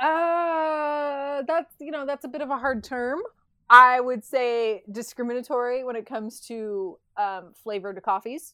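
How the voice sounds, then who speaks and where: A woman with a General American accent, high pitch and a bright, sharp tone, with ordinary pitch variation and big swings in loudness against a quiet background. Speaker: podcast co-host. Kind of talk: casual chat.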